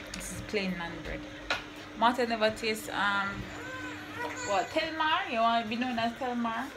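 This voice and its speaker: Speaking with a Jamaican accent at a moderate pace, a woman leaves long, frequent pauses over noticeable background noise. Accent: Jamaican English with patois. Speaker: vlogger. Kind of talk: casual cooking vlog. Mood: relaxed, playful. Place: kitchen. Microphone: phone near.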